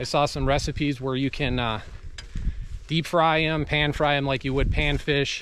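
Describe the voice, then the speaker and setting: Over light background noise, a man speaks in a monotone, flat intonation with a dry sound and no echo. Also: moderate pace. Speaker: fishing vlogger. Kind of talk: casual vlog chat. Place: forest. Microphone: phone near.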